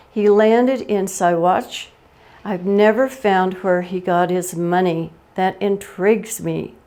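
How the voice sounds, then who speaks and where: A woman speaks with a Western US accent. Her tone is dark and mellow. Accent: American Western. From Colorado, USA. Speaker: oral history presenter. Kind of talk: oral history talk. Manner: humorous.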